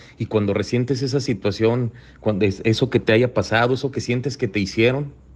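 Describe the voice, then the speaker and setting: A man with a Mexican accent talks at a fairly quick pace in a medium pitch. His voice is somewhat breathy, with fairly even intonation. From Mexico, Colima. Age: 40s. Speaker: recovery group speaker. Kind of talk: personal testimony talk. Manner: halting, repeats words.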